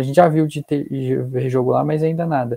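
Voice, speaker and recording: A man with a dark, mellow tone talks at a fairly quick pace in a fairly high pitch. His intonation is fairly even, over a quiet background. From Brazil, interior of São Paulo state (Taubaté); São Paulo, Brazil. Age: 20s. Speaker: young footballer on sports exchange. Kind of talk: casual interview; interview answer. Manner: halting. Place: home room. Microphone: video call.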